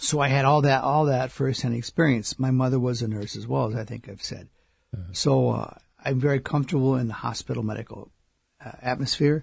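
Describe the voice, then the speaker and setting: A somewhat breathy man at a fairly quick pace, with fairly even intonation and big swings in loudness. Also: medium pitch for a man. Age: 60s. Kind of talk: radio interview.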